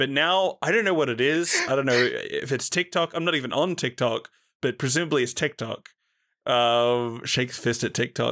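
On a very clean recording with a silent background, a man with an Australian accent talks at a fairly quick pace. His voice is medium in pitch, bright and sharp in tone, with ordinary pitch variation. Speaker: podcast host. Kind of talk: casual chat.

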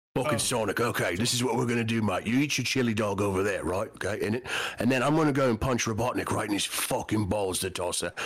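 A man in a put-on character voice with a British accent speaks at a very fast pace, gravelly and medium-pitched, over light background noise. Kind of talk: street slang, casual. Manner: tough, bossy.

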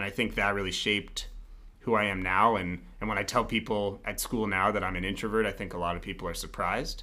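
A man with a General American accent speaks at a fairly low pitch in a bright, sharp tone. His intonation is fairly even, with audible room echo. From Colorado, Denver. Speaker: MBA student. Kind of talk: interview. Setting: small studio room.

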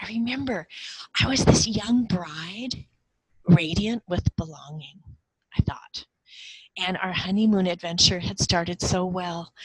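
A woman with a normal speaking voice and lively intonation. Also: dry, close sound with no echo. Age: 50s. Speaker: cross-cultural mentor and former missionary. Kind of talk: personal testimony in an interview.

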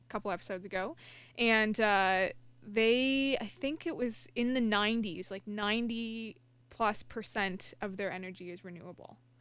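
A woman with an unremarkable speaking voice talks at a moderate pace, her pitch in the medium range. Her intonation stays fairly even, and the recording is very clean with a silent background. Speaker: engineer. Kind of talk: casual chat.

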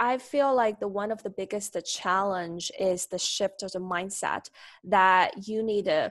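In a Chinese accent, a woman speaks at a medium pitch with ordinary pitch variation, the sound dry and close with no echo against a quiet background. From China, Nanjing. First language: Mandarin Chinese. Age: 20s. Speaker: graduate student. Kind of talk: casual interview.

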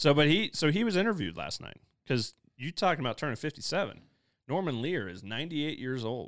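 Over a very clean, silent background, a fairly high-pitched man with an American accent and vocal fry talks at a very fast pace, with very wide pitch swings and big swings in loudness. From US Midwest. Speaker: pastor. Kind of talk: casual chat.

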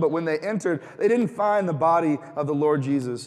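Over noticeable background noise, a man with a high pitch talks at a fairly quick pace with an animated tone and lively intonation. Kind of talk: sermon. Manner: animated, conversational and jokey, with rhetorical questions and call-and-response.

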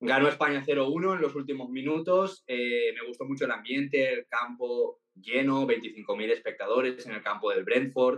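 Using a normal speaking voice, a man at a medium pitch talks at a fairly slow pace with hardly any pauses and ordinary pitch variation. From Valencia, Spain. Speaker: TikTok content creator. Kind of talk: interview.

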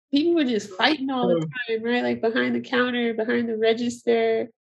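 Speaking at a moderate pace, a woman has an unremarkable speaking voice, fairly high in pitch, with lively intonation. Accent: American. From Chicago. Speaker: podcast host. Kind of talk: interview.

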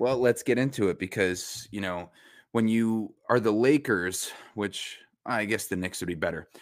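On a very clean recording with a silent background, a man with an American accent has an unremarkable speaking voice, fairly low in pitch with ordinary pitch variation. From New York, Westchester County. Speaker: sports reporter and podcast co-host. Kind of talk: casual chat.

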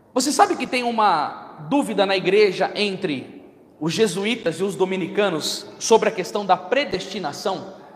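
A man with a high voice talks at a moderate pace in an animated tone, his pitch varying in an ordinary way over noticeable background noise. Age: 30s. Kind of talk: sermon.

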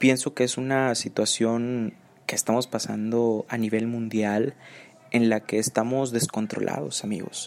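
A man speaks in a plain, everyday voice at medium pitch. His pace is fairly slow and his intonation fairly even. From Nuevo León, Mexico. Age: 20s. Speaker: podcast host, university student. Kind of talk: casual podcast monologue.

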